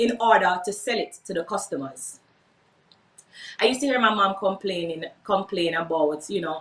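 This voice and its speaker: A woman speaks at a moderate pace in a Jamaican accent. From Jamaica, Portmore. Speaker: entrepreneur, workshop speaker. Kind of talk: workshop talk, personal story.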